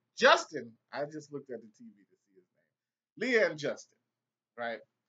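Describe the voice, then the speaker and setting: A man talks at a fairly quick pace with a fairly high pitch. His pitch swings very widely and his loudness rises and falls sharply. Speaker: TV show reviewer. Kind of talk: casual video review. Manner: slurred.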